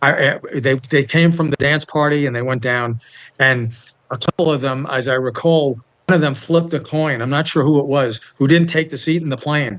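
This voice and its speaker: Fairly high in pitch, a man talks with a New York accent. His pace is moderate and his intonation fairly even. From New York, Bronx / Long Island. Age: 70s. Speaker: interview guest. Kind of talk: casual interview.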